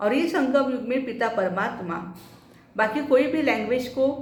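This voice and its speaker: A woman speaks with a Marathi accent. Her voice carries an audible room echo, and there is noticeable background noise. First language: Marathi (speaking Hindi). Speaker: spiritual teacher. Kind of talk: spiritual talk.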